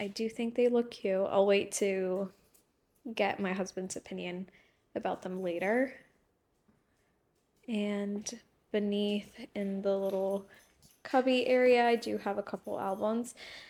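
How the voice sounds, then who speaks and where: A loud woman of medium pitch speaks at a fairly slow pace. Her intonation is fairly even, and she leaves long, frequent pauses. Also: very clean recording, silent background. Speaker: lifestyle vlogger. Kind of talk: casual vlog chat. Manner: breathing loudly.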